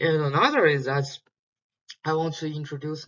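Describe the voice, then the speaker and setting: With music in the background, a man with a non-native accent speaks at a moderate pace and a fairly high pitch. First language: Chinese. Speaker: PhD student teaching an online course. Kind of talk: lecture. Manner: halting, many fillers and repetitions.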